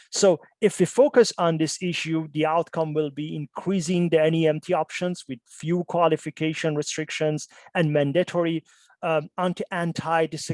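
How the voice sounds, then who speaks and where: In a dry, close sound with no echo, a man at a fairly high pitch talks at a moderate pace with fairly even intonation. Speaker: keynote speaker, researcher. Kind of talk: conference keynote talk. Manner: halting, many fillers.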